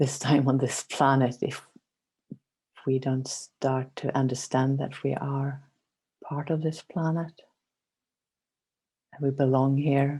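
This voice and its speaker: Very slow speech in a Swedish accent, with long, frequent pauses. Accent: mild Swedish. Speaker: meditation guide. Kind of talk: casual chat.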